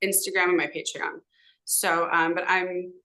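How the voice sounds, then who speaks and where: The tone is bright and sharp, in a Californian accent. Intonation stays fairly even. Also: woman. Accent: Californian American English. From Southern California, Los Angeles (San Fernando Valley). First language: Hebrew. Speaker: podcast guest, social media commentator. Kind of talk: casual interview conversation. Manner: hesitant, many fillers.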